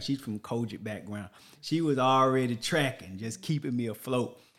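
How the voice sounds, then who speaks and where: A man with a Texan accent speaks at a medium pitch. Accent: Texan Southern US. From Texas. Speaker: podcast host, Navy veteran father. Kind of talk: casual interview.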